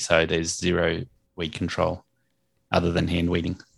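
A man speaks with an Australian accent in a very deep, low pitch. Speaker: lawn maintenance business owner and podcast host. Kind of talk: casual interview. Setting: remote call.

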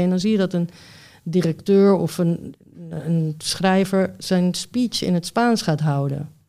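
A woman's dark, mellow, fairly low voice comes through in a very clean recording with a silent background. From Netherlands, arrived age six. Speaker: writer and columnist, former interpreter. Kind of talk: casual chat.

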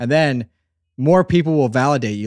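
Recorded very cleanly against a silent background, a man's voice swings very widely in pitch. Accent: American. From southeastern Pennsylvania. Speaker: audio drama creator. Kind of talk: casual chat.

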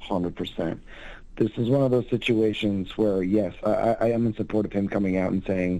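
With an American accent, a man talks at a moderate pace in a dark, mellow tone and flat, monotone intonation. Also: quiet background. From US Northeast, Berkshires. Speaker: caller. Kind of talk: casual chat.

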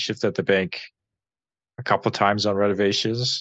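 A man with a western Canadian accent, speaking at a moderate pace. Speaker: podcast co-host. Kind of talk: casual chat.

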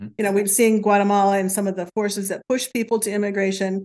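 A woman of medium pitch speaks in an American accent. Her intonation is monotone and flat. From US Midwest, northwest Ohio. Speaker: retired teacher, farmer's wife. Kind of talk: interview.

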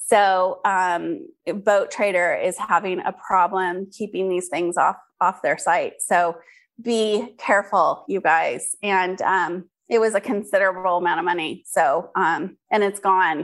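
This woman has an unremarkable speaking voice at a medium pitch. Her intonation is fairly even and her pace fairly slow. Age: 50s. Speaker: skincare entrepreneur. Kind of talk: interview.

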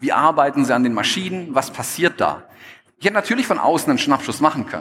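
At a very fast pace, a man speaks in a fairly high pitch with very wide pitch swings. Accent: slight Swabian. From Stuttgart, Swabia, Germany. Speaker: photographer and speaker. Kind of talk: stage talk. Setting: stage with audience.

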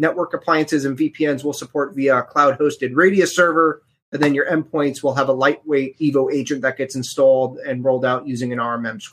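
With an ordinary speaking voice, a man with an American accent talks fairly quickly at a fairly high pitch, hardly pausing at all. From New York area (Bronx-born, now Connecticut). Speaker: cybersecurity company representative. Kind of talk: casual interview. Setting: live online show.

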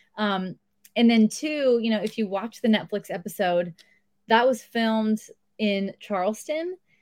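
A woman with an American accent and an ordinary speaking voice talks at a fairly slow pace. Her fairly high pitch shows ordinary variation in a dry, close sound with no echo. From Southern California. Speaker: treehouse resort owner. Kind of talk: interview.

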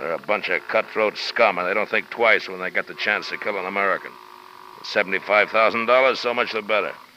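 In a gruff, put-on character voice, a man speaks at a fairly low pitch and moderate pace with fairly even intonation. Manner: gruff, blunt, irritable.

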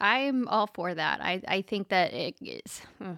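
A woman with an American accent has a plain, everyday voice at medium pitch, lively intonation, and a dry, close sound with no echo. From US South. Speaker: podcast co-host. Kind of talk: casual chat. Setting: home studio in spare room.

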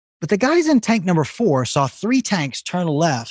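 In a very clean, dry and close recording with no echo and a silent background, a man with a slight Southern US accent speaks with very wide pitch swings. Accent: slight Southern US drawl. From Arkansas, US South. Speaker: business storytelling coach and author. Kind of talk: interview conversation.

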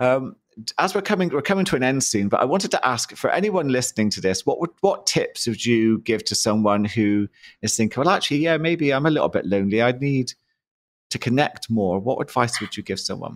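Speaking with a British accent, a man moves at a fairly quick pace, his medium pitch showing very wide swings. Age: 50s. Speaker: podcast host, mindset coach. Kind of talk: interview.

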